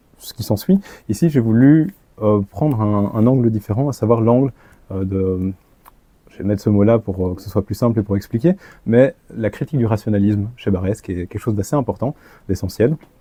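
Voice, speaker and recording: A man's dark, mellow, fairly low voice at a moderate pace, with ordinary pitch variation, big swings in loudness and long, frequent pauses, in a dry, close recording with no echo. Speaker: author and lecturer. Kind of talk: lecture. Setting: conference room with audience. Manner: hesitant, many filler sounds.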